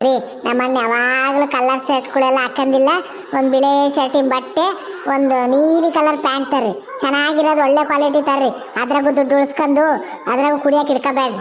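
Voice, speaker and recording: A cartoonish character voice talks at a moderate pace. Clear background noise runs underneath. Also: woman, high pitch for a woman. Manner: chatty, rustic dialect.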